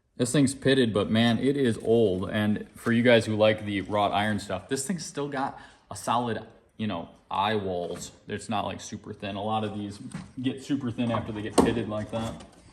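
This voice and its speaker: A man with a plain, everyday voice and a fairly low pitch talks at a moderate pace with ordinary pitch variation. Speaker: auctioneer and vintage axe seller. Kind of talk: auction preview and product showcase narration.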